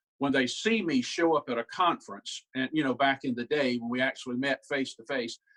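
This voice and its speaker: A man with a Southern US accent speaks at a moderate pace in a fairly high pitch. His ordinary pitch variation comes through in a dry, close sound with no echo. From South Carolina. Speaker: humorist and professional speaker. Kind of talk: humorous keynote talk. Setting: video call.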